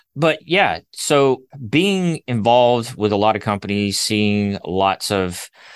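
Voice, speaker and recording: Against a quiet background, a man with an American accent and an unremarkable speaking voice talks at fairly low pitch with ordinary pitch variation. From Alabama, US South. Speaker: brand designer. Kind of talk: interview.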